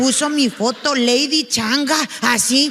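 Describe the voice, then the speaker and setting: Over noticeable background noise, a woman uses a raised, projected voice with a high pitch and ordinary pitch variation. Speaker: stand-up comedian. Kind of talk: stand-up comedy storytelling. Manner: colloquial, animated.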